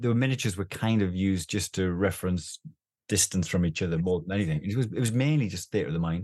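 Over a quiet background, a man speaks at a very fast pace. His pitch is very deep and low. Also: ordinary pitch variation. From northeast England. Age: 50s. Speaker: doctor and therapeutic gaming charity chairman. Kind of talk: interview.

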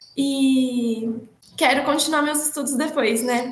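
Against noticeable background noise, a woman speaks at a moderate pace. Her voice is high and her intonation flat and monotone. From Araraquara, São Paulo, Brazil. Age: young. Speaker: economist, women's rights researcher. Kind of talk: panel discussion on live podcast.

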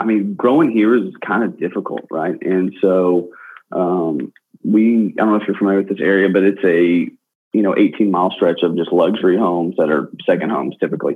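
Fairly low in pitch, a man talks at a fairly quick pace with ordinary pitch variation in a plain, everyday voice. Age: 20s. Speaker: real estate broker and former pro football player. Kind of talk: interview.

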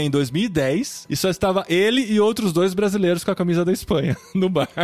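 A man with a Brazilian accent at a moderate pace, music playing in the background. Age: 40s. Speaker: podcast host. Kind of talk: casual chat.

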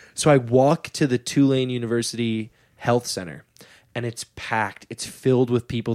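In a dry, close sound with no echo, a man with a plain, everyday voice speaks at a medium pitch with fairly even intonation. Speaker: stand-up comedian and podcast host. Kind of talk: casual chat. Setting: home studio. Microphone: new mic.

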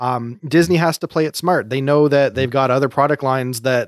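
A man talks at a moderate pace in an unremarkable speaking voice. His medium pitch shows ordinary variation. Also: dry, close sound with no echo, very clean recording, silent background. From Canada. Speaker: co-host. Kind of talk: casual chat.

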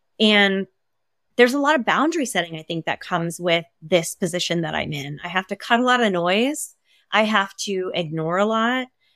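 In an American accent, a woman with a normal speaking voice talks at a moderate pace and medium pitch with lively intonation, the sound dry and close with no echo on a very clean recording with a silent background. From Maine, US. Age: 40s. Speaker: stylist and entrepreneur. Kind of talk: interview conversation.

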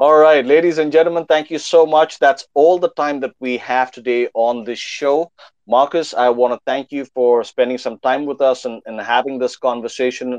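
A man's unremarkable speaking voice sits at a fairly high pitch, moving at a moderate pace with ordinary pitch variation. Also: dry, close sound with no echo. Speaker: podcast host. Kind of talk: interview intro and chat.

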